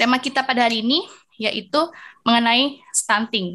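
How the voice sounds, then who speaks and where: At a fairly slow pace, a woman speaks in a high voice with a bright, sharp tone and ordinary pitch variation. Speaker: master of ceremonies. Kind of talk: formal event hosting. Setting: video call. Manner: formal.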